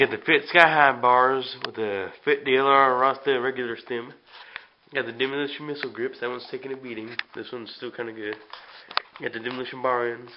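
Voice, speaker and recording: Noticeable background noise sits behind a man speaking in a medium pitch at a fairly quick pace. His intonation is fairly even, with big swings in loudness. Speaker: BMX rider showing his bike. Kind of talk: casual bike check video.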